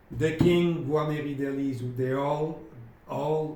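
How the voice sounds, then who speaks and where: A man with a French accent speaks at a fairly slow pace. Noticeable background noise and audible room echo surround him. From France. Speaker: independent researcher and violin dealer. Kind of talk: explanatory video talk. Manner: halting, many fillers.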